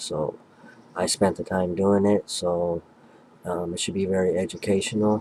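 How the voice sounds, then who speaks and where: Soft-spoken and dark, mellow in tone, a man with a very deep, low pitch talks at a moderate pace with fairly even intonation. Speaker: history and religion YouTuber. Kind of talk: casual video introduction. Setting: at home, family sleeping nearby. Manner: quiet, soft-spoken.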